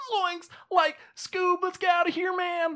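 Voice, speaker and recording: A put-on character voice at an extremely high pitch, fairly slow and monotone, with flat intonation. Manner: panicked, exclaiming.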